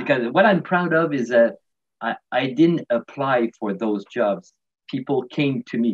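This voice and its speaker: A man with a Quebec accent, fairly slow pace and lively intonation, against a quiet background. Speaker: retired physiotherapist. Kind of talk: interview. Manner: halting. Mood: warm, laughing. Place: home room. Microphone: webcam.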